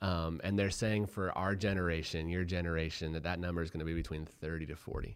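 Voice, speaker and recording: In an American accent, a man speaks very fast with hardly any pauses. His pitch is very deep and low, and his intonation fairly even. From Colorado. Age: 30s. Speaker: entrepreneur. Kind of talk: casual chat. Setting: studio.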